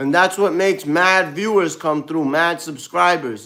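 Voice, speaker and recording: Speaking at a fairly slow pace, a man with a Brooklyn accent uses a high pitch and lively intonation. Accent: New York, Brooklyn. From US Northeast (Brooklyn, New York). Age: 30s. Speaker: live streamer. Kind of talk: casual live stream chat. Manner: casual, slang-heavy.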